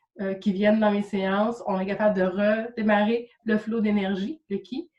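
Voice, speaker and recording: A fairly slow, somewhat breathy woman's voice, fairly high in pitch. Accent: Quebec. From Quebec. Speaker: Reiki practitioner and coach. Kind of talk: interview. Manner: hesitant, many fillers.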